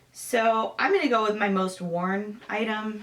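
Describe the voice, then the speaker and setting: Speaking fairly slowly in an American accent, a woman keeps a monotone, flat intonation while noticeable background noise runs behind her. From Michigan. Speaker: sewing vlogger and fighter jet mechanic. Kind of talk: casual Q&A vlog.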